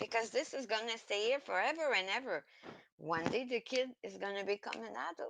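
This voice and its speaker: This woman has a fairly high pitch and some vocal fry, speaking at a moderate pace. Her intonation is lively, and the sound is dry and close with no echo. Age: 50s. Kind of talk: emotional rant to camera.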